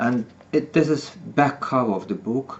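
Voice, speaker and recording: A man at medium pitch with a non-native accent and ordinary pitch variation. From Soviet Union. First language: not English. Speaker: author. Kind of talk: reading aloud. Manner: halting.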